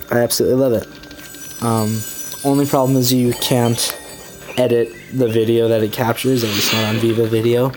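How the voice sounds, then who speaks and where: Music plays in the background as the speaker leaves long, frequent pauses. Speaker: gaming youtuber. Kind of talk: let's play commentary. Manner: casual, rambling with fillers.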